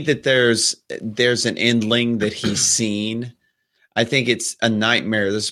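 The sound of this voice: The background stays quiet while someone reads in an unforced voice.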